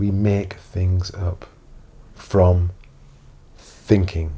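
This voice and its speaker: A man's somewhat breathy voice. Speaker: self-help coach. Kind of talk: inspirational talk to camera.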